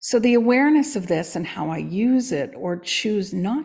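The recording is very clean, with a silent background. A woman at medium pitch sounds somewhat breathy, her intonation lively. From Canada. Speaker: coach and podcast co-host. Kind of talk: casual chat.

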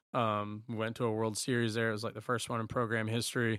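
A man with a Southern US accent speaks at a medium pitch and a moderate pace. His intonation is monotone and flat on a very clean recording with a silent background. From rural eastern North Carolina. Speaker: former college baseball player. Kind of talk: casual interview.

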